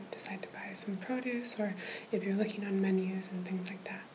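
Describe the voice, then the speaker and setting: Soft-spoken and calm in tone, a woman talks with fairly even intonation over noticeable background noise. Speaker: language tutor. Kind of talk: tutorial. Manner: soft, calm ASMR explanation. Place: home room. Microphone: webcam.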